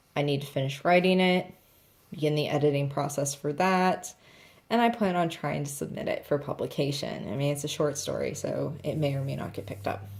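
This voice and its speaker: A woman with a very deep, low pitch and vocal fry talks at a fairly quick pace with lively intonation. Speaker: planner and craft vlogger. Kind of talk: casual vlog talk. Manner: chatty, conversational.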